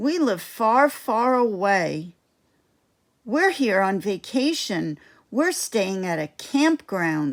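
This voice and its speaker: A woman's put-on character voice at medium pitch and a very slow pace, in a very clean recording with a silent background. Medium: read story.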